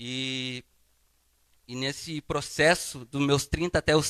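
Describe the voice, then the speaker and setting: Fairly even in intonation, a man speaks at a fairly high pitch and a fairly slow pace. The sound is dry and close, with no echo. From southern Brazil, Paraná (Londrina). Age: 30s. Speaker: guest preacher. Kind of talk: sermon with personal testimony. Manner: casual, conversational.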